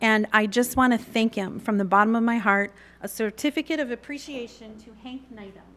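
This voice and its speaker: A woman with an ordinary speaking voice, fairly high in pitch, at a fairly quick pace, with ordinary pitch variation and big swings in loudness. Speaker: chamber of commerce director. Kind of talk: presentation to city council. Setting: council chamber meeting.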